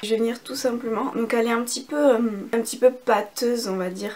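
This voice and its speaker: Noticeable background noise accompanies a woman talking at a fairly quick pace and fairly high pitch. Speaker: beauty youtuber. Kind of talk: casual chat with makeup tutorial.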